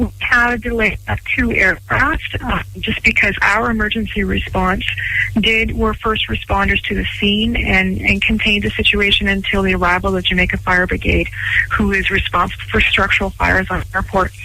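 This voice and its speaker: With a western Canadian accent, a woman talks at a moderate pace and very even loudness over noticeable background noise. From Canada, Vancouver Island. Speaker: airport executive. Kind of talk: radio interview.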